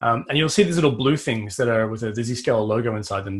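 A man's somewhat breathy, medium-pitched voice with an Australian accent and ordinary pitch variation. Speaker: cybersecurity vendor strategist. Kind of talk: technical interview.

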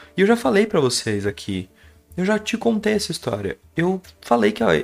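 Music plays in the background as a man speaks at a moderate pace with very wide pitch swings. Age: 20s. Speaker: podcast storyteller. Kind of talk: personal storytelling monologue. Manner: casual, hesitant with repetitions.

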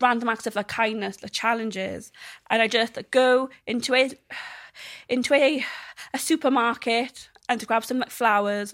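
On a very clean recording with a silent background, a woman with a South Welsh accent speaks at a fairly high pitch with fairly even intonation. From South Wales. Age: 20s. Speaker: social media creator. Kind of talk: interview. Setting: studio. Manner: halting.

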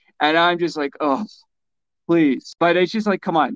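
A normal speaking voice, a man with a fairly high pitch and a Canadian accent at a moderate pace, in a dry, close sound with no echo. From Canada. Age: 50s. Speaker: author. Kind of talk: interview.

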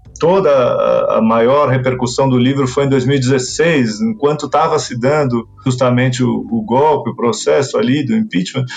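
A man's fairly high voice carries lively intonation at very even loudness. Noticeable background noise sits behind him. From Brazil, Argentine parents. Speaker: writer and literary critic. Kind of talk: interview. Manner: hesitant, repeats words.

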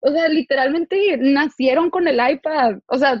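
A woman talks at a fairly slow pace. Her pitch is high. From Tijuana, northern Mexico. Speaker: podcast host. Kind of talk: casual interview chat.

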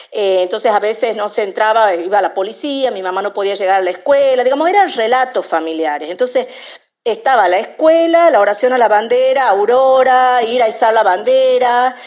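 A woman talks at a fairly quick pace. Her fairly high pitch has lively intonation. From Argentina, San Miguel de Tucumán. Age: 50s. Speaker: literature scholar. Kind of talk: interview. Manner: halting, many fillers.

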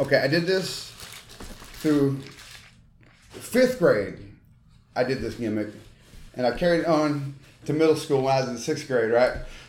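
A man speaks in a Southern US accent at a moderate pace, with a fairly high pitch and ordinary pitch variation. Long, frequent pauses break up his speech. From Tennessee. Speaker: former pro wrestler and wrestling trainer. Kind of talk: casual chat. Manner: halting.

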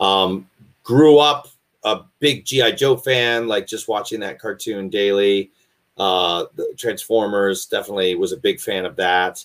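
A man in a normal speaking voice, fairly low in pitch with ordinary variation, at a fairly slow pace. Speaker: voice actor. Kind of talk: interview.

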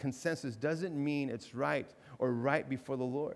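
A man with an ordinary speaking voice, fairly high pitch, ordinary pitch variation and a moderate pace, in a very clean recording with a silent background. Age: 40s. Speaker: pastor. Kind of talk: sermon. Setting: church. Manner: conversational, with repetitions and fillers.

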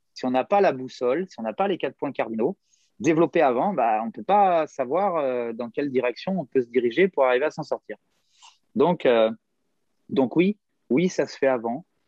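The delivery moves at a moderate pace with lively intonation, big swings in loudness, and long, frequent pauses. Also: man, fairly high pitch for a man. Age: 50s. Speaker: gymnastics coach. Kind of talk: casual interview. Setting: hotel room, remote call.

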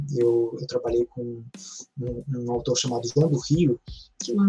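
This man talks at a fairly slow pace. His medium pitch follows a fairly even intonation. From Rio de Janeiro, west zone. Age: 30s. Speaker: academic and novelist. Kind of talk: podcast interview. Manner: halting, many repeated words.

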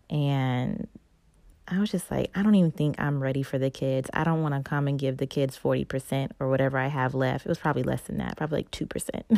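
Talking at a very fast pace in a Southern US accent, a woman with a very deep, low pitch keeps her tone animated. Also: ordinary pitch variation. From North Carolina. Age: 20s. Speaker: podcast host. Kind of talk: personal testimony.

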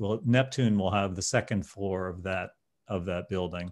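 Here a man with a plain, everyday voice talks at a moderate pace and a fairly low pitch, with fairly even intonation. The sound is dry and close with no echo, over a quiet background. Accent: American. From New Jersey. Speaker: insurance company founder. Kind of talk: podcast interview.

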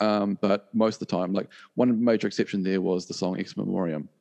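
Speaking at a moderate pace with a New Zealand accent, a man sounds dry and close with no echo. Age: 40s. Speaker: rock musician. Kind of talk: interview. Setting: video call. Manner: hesitant, many fillers and repeats.

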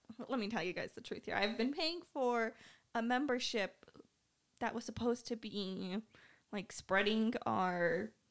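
A woman with a fairly high pitch speaks at a fairly slow pace, using ordinary pitch variation and leaving long, frequent pauses. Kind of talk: casual chat. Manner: soft-spoken.

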